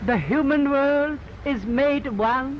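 A man with a Bengali accent at an extremely high pitch, ordinary pitch variation and light background noise. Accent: Bengali Indian English. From India, Bengal. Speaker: poet and philosopher. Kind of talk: public speech. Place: garden. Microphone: old recording.

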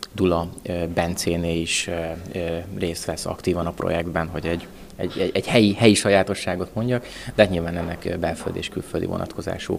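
A man's very deep, low voice at a fairly quick pace, fairly even in intonation, over light background noise. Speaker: agricultural technology developer. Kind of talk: interview. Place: hall. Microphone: handheld.

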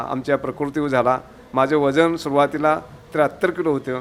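Through noticeable background noise, a man speaks at a fairly high pitch. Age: 60s. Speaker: patient. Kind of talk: testimony. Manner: halting.

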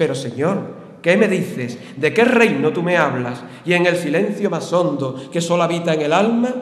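There is audible room echo but a quiet background as a man speaks in a high pitch at a moderate pace with lively intonation. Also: hardly any pauses. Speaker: festival proclaimer. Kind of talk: Holy Week proclamation, formal verse oration. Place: stage. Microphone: podium.

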